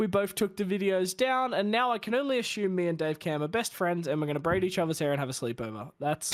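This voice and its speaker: Using an Australian accent, a man speaks at a high pitch and a very fast pace. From Australia, Bathurst. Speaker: sim racing streamer. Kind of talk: casual chat.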